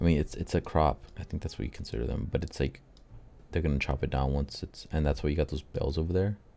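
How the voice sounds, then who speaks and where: Very deep and low, a man's voice carries a dark, mellow tone and vocal fry. He speaks at a very fast pace with an American accent. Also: ordinary pitch variation. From California Central Valley. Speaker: podcaster. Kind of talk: casual solo commentary. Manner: casual.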